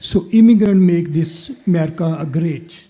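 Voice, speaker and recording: With a non-native accent, a man speaks at a high pitch in a dark, mellow tone, using ordinary pitch variation. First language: not English. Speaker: city council candidate. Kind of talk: candidate forum answer.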